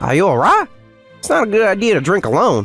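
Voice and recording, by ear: Over faint music in the background, a man uses a put-on character voice, talking fast in a high pitch with very wide pitch swings, a fairly bright tone and a slightly husky edge.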